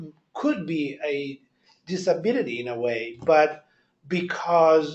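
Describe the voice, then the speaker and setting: Very slow speech with a strong Italian accent and lively intonation. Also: man. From Italy. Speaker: audience member at a staff talk. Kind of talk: group discussion.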